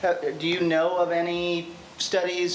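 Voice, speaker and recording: A man is speaking. The room echo is audible, and there is noticeable background noise. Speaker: audience member asking a question. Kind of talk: audience question. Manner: loud.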